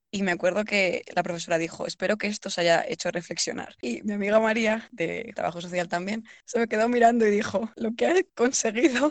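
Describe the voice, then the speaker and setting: Speaking at a fairly quick pace, a woman has a fairly high pitch and an ordinary speaking voice. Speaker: podcast co-host, university student. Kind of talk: casual chat.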